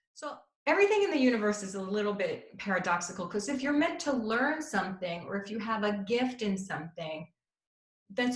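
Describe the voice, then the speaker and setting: With an American accent, a woman speaks in an unremarkable speaking voice. Her pitch is fairly high and her intonation lively. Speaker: intuitive counselor and happiness coach. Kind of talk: talk to an audience.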